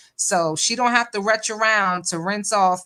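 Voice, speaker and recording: On a very clean recording with a silent background, a woman with an American accent sounds animated, her tone bright and sharp and her pitch variation ordinary. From northern US. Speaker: live-stream commentator. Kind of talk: live-stream reaction commentary. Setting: live stream with chat. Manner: casual, animated.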